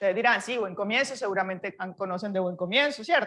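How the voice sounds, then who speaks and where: A woman's very fast speech with a Barranquilla accent, at a medium pitch and ordinary pitch variation, amid audible room echo. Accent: Barranquilla (Colombian Caribbean). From Colombia, Barranquilla (Caribbean coast). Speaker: university professor. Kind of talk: lecture.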